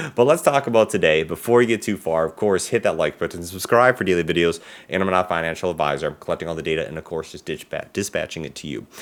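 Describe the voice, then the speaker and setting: A man with a very deep, low voice talks at a very fast pace, with hardly any pauses. His intonation is lively and his loudness swings widely, all on a very clean recording with a silent background. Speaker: stock market youtuber. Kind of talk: stock analysis commentary.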